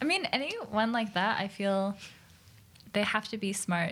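A woman speaks at a medium pitch with ordinary pitch variation and a fairly slow pace. It is a plain, everyday voice. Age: 20s. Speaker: streamer and professional gamer. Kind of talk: casual podcast chat. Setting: studio with cameras.

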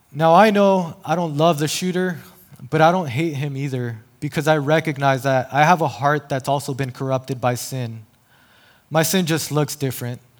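The speaker has an American accent and a normal speaking voice. The pace is moderate, with ordinary pitch variation. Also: man, fairly high pitch for a man. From El Paso, Texas. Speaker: lay preacher, campus minister. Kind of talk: sermon. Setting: church stage.

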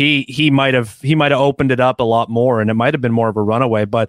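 On a very clean recording with a silent background and a dry, close sound with no echo, a man with a Canadian accent talks at a fairly quick pace in a normal speaking voice at medium pitch. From Canada. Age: 30s. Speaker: podcaster and football analyst. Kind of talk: casual chat.

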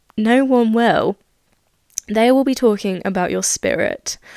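With a British accent, a woman talks at a fairly slow pace, her voice dry and close with no echo on a very clean recording against a silent background. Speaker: podcaster. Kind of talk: solo monologue podcast. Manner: excitable, rambling.

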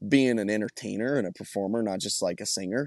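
Dry and close with no echo, the recording captures a man's normal speaking voice at a fairly low pitch, with an American accent and ordinary pitch variation. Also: quiet background. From Colorado. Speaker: country singer. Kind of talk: interview.

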